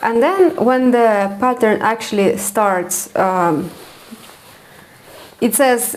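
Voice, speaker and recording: Lively intonation and a high pitch mark this woman's speech, in a non-native accent. Noticeable background noise is present. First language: not English. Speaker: knitting podcaster. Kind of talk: casual chat. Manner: hesitant, many fillers.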